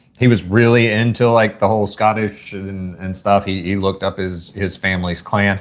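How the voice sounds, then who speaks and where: At a moderate pace, a man with a Southern US accent speaks with monotone, flat intonation. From US South. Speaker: YouTuber. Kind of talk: live stream chat. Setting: live stream. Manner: casual.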